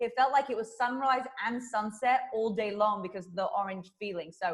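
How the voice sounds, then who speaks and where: There is noticeable background noise as a woman speaks with a British accent. Her pitch is fairly high and her pace fairly quick. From southern England. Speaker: fitness trainer and YouTuber. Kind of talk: interview. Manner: animated.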